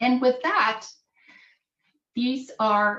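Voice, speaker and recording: A woman with a non-native accent at a very slow pace, with ordinary pitch variation. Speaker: professor and scientist. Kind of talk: workshop presentation. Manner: halting, repeats words.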